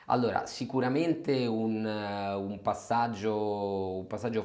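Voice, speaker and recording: Noticeable background noise and audible room echo fill the recording. A man speaks fairly slowly at a fairly low pitch, with ordinary pitch variation. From Rome, Italy. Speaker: general manager of a research firm. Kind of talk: interview. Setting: office.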